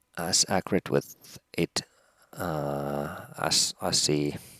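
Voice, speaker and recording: A man speaks with a Finnish accent and vocal fry. The sound is dry and close, with no echo. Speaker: helicopter pilot. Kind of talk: tutorial; casual chat. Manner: halting, many pauses.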